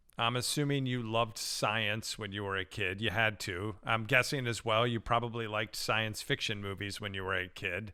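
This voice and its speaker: Fairly low in pitch, a man talks at a moderate pace with fairly even intonation and hardly any pauses. His tone is bright and sharp, on a very clean recording with a silent background. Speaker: podcast host, network broadcaster. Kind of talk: interview question.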